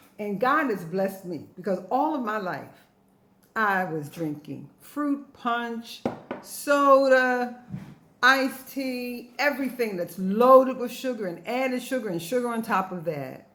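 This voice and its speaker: With lively intonation and an animated tone, a woman speaks at a fairly slow pace in a fairly high pitch, and audible room echo surrounds her voice. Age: 60s. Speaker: health vlogger and ebook author. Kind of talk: informal tutorial to camera.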